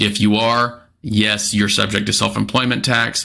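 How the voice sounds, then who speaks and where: In a very clean recording with a silent background, a man speaks in a flat monotone at a fairly low pitch with a bright, sharp tone. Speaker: financial advisor. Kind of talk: explainer video. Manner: fast.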